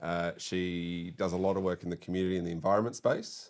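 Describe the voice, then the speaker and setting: Very deep, low-pitched man with an Australian accent on a very clean recording with a silent background. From Western Sydney, Australia. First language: French. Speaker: politician. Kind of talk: casual chat. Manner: halting.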